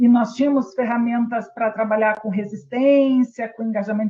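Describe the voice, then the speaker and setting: With a strong Rio Grande do Sul accent, a woman speaks in a high voice. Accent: strong gaúcho (Rio Grande do Sul). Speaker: healthcare quality and patient safety specialist. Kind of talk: webinar presentation. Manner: hesitant, many fillers.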